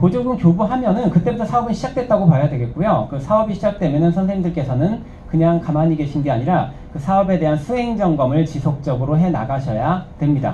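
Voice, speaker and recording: Over noticeable background noise and audible room echo, a man talks at a very fast pace. His pitch is high and his intonation lively. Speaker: instructor. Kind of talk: lecture.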